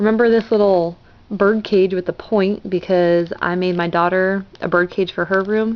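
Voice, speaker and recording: A woman's plain, everyday voice at medium pitch, with fairly even intonation. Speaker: crafting vlogger. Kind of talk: casual vlog.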